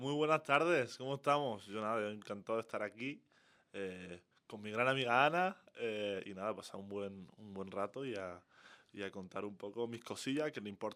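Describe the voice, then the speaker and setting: This voice has an Andalusian accent and a bright, sharp tone. It moves at a moderate pace with ordinary pitch variation. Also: man, fairly low pitch for a man. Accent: southern Spanish (Andalusian). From southern Spain, Málaga. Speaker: college basketball player. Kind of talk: podcast interview. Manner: hesitant, many fillers.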